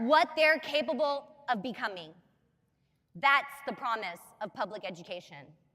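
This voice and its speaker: A woman speaks in a raised, projected voice. Her pace is fairly slow. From Texas, Plano (Romanian immigrant family). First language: Romanian. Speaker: state legislator. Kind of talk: political speech. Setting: convention stage with audience. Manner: formal.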